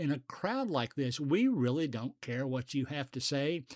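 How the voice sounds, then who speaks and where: Over a silent background in a very clean recording, a man with a plain, everyday voice talks at a fairly slow pace with lively intonation. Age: 60s. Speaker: podcast host. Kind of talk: casual monologue.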